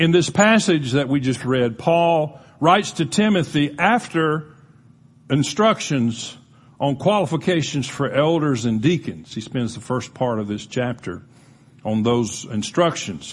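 A man speaks at a fairly slow pace with lively intonation, a somewhat breathy quality and a fairly high pitch, against a quiet background. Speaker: pastor. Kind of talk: sermon. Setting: church.

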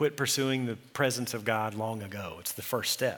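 A man with an American accent and a plain, everyday voice talks at a moderate pace. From Texas, Eula. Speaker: pastor. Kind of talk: sermon.

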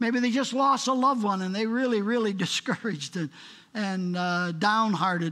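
Raising and projecting his voice, a man talks at a moderate pace with lively intonation. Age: 80s+. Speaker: guest preacher. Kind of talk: sermon. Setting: church.

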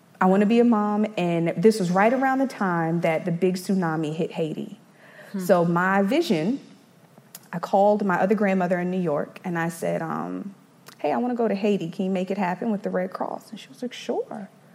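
With noticeable background noise behind her, a woman speaks at a medium pitch and a fairly quick pace, her pitch varying in an ordinary way. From South Carolina (Eastover), moved from Brooklyn as toddler. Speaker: church youth ministry volunteer. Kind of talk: testimony. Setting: stage with audience.

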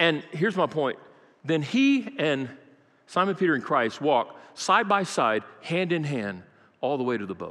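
With vocal fry and an American accent, a man speaks at a fairly slow pace in a fairly high pitch, his pitch swinging very widely. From Brazil (American missionary kid). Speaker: pastor. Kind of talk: sermon. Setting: church.

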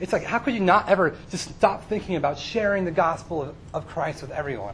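Amid audible room echo, a man speaks at a fairly quick pace with a high pitch. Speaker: youth pastor. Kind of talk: sermon.

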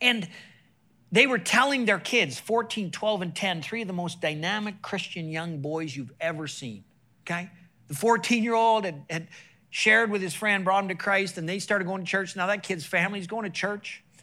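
In a very clean recording with a silent background, a man with a high pitch uses a raised, projected voice and a bright, sharp tone at a moderate pace with ordinary pitch variation. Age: 50s. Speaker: sports chaplain and evangelist. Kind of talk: sermon. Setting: church stage with audience. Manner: animated.

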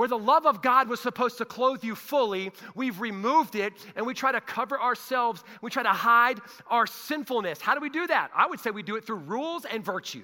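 Raising and projecting his voice, a man talks at a fairly quick pace with extremely high pitch and ordinary pitch variation. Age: 40s. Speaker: pastor. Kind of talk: sermon. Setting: church. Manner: animated.

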